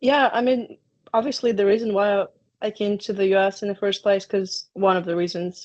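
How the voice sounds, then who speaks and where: With a Ukrainian accent, a woman speaks at a moderate pace with fairly even intonation. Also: medium pitch for a woman. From Ukraine. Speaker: college soccer player. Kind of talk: interview.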